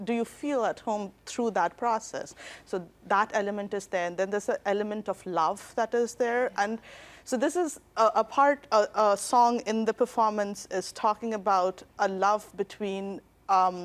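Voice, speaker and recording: A woman with a Bengali accent and a fairly high pitch talks at a moderate pace with ordinary pitch variation, on a very clean recording with a silent background. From India. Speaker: dancer and choreographer. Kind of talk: TV interview.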